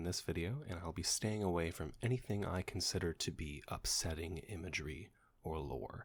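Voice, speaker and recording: A man whispering at a moderate pace, somewhat breathy. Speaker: ASMR creator. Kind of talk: whispered reading.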